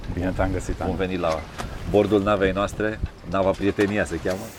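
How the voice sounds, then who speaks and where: Amid noticeable background noise, a man with a very deep, low pitch talks at a fairly quick pace in a monotone, flat intonation with long, frequent pauses. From Mangalia, Romania. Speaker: podcast host, company CEO. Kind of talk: interview.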